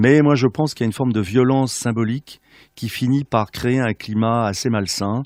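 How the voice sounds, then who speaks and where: A man's medium-pitched voice at a moderate pace, ordinary pitch variation, dry, close sound with no echo, and a quiet background. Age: 60s. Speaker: regional politician. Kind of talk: radio interview. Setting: radio studio. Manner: hesitant, many filler sounds.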